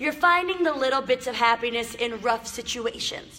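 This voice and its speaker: Animated and lively in intonation, a woman speaks in a raised, projected voice at a high pitch. She keeps a moderate pace. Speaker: motivational live streamer. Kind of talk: live stream talk to viewers. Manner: loud.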